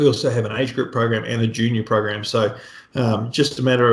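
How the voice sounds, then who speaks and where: Somewhat breathy, a man talks at a fairly quick pace. His intonation is fairly even. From New Zealand. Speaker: triathlon coach. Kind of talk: podcast interview.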